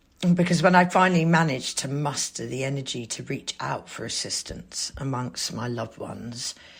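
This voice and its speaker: A woman speaks with a very deep, low pitch. Her voice has vocal fry. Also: ordinary pitch variation, hardly any pauses, big swings in loudness. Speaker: podcast host and abuse survivor. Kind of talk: personal testimony; scripted announcement.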